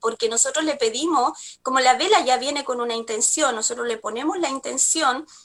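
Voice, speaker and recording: A woman speaks in a high, raised and projected voice with lively intonation. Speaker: spiritual energy therapist. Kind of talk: TV talk show segment. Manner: halting, many fillers.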